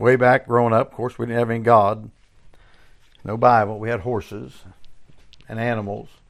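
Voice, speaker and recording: Monotone, flat delivery from a man at medium pitch, moderate in pace, with long, frequent pauses. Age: 60s. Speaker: preacher. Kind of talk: sermon. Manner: halting.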